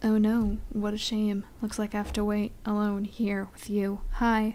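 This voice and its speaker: The woman's dark, mellow tone sits at a fairly high pitch. She speaks at a fairly slow pace in a monotone, flat intonation. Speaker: gamer playing on camera. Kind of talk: casual let's play commentary. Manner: sleepy.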